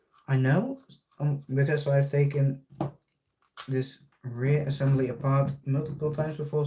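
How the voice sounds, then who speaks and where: Speaking with a Dutch accent, a man uses a somewhat breathy voice with a dark, mellow tone. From Netherlands. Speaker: RC hobbyist streamer. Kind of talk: live stream tutorial. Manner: casual, halting.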